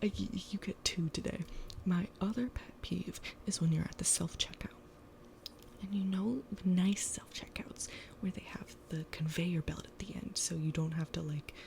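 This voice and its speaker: A whispering woman at a moderate pace, with long, frequent pauses. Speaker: ASMR creator. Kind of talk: casual talk to camera. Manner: conversational, ranting, casual.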